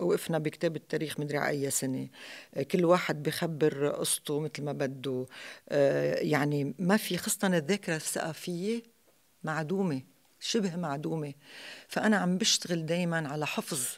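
Against a quiet background, a woman talks at a fairly slow pace. Her voice is very deep and low, with ordinary pitch variation. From Lebanon. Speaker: theatre actress. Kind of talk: interview. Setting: stage with audience. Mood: calm, reflective. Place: hall. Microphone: studio mic.

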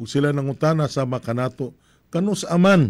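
A man at a fairly slow pace, with ordinary pitch variation against a quiet background. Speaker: priest. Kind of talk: homily. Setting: live streaming. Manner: formal, measured preaching; earnest, reflective. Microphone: studio mic.

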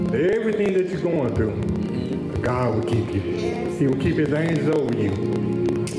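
A man speaks at a fairly slow pace over loud music in the background. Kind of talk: scripture reading and exhortation. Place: hall. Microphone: handheld.

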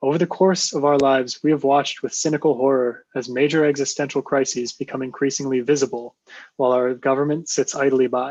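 A man speaks at a fairly quick pace and a fairly high pitch. His intonation is flat and monotone. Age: 20s. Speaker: public commenter. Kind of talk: prepared public testimony.

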